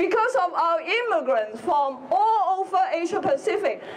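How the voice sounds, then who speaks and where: With a Hong Kong accent, a woman talks at a fairly slow pace in an extremely high pitch with very wide pitch swings over noticeable background noise. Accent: Hong Kong Chinese. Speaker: politician. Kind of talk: rally speech. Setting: outdoor rally with crowd.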